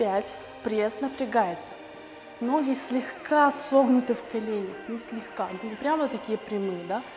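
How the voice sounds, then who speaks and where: Clear music plays behind a woman who talks at a fairly slow pace, her loudness swinging widely. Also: ordinary pitch variation. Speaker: fitness instructor. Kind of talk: workout tutorial instruction. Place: gym.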